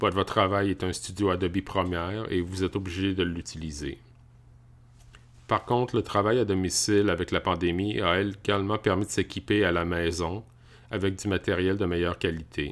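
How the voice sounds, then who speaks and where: A very clean recording with a silent background, featuring a man at a very deep, low pitch, moderate pace, fairly even intonation and very even loudness. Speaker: tech YouTuber. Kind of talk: casual tech review. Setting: home office.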